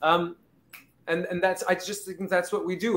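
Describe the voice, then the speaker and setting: There is noticeable background noise. Through it, a man speaks with a high pitch. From Canada (Montreal). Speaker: pop singer. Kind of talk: casual interview chat. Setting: live show at a restaurant.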